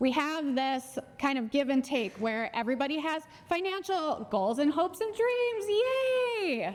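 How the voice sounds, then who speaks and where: This woman speaks in a strong Minnesota accent. Her pitch swings very widely. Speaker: financial educator and speaker. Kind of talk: conference talk. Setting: stage with audience.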